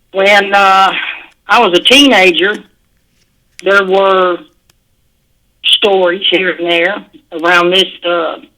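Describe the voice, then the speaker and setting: With an American accent and a bright, sharp tone, a woman speaks at a very slow pace with long, frequent pauses. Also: medium pitch for a woman, fairly even intonation. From southeast Oklahoma (McCurtain County). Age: 60s. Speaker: retired truck driver, caller. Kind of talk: testimony. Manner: halting, many fillers.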